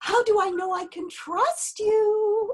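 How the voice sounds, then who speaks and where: A put-on character voice, squeaky and extremely high-pitched, delivered at a fairly slow pace. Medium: stage play. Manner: sardonic.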